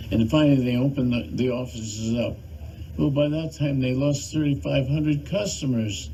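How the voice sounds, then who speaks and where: A man with an American accent talks at a moderate pace in a medium pitch, with lively intonation. There is audible room echo and noticeable background noise. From US South. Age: 80s+. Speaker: channel host, activist commentator. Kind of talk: monologue appeal to viewers. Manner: halting.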